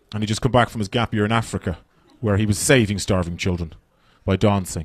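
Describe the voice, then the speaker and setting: Speaking at a very fast pace, a man with an Irish accent uses a fairly low pitch with ordinary variation. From Ireland. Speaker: stand-up comedian. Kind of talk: stand-up. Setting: stage with audience.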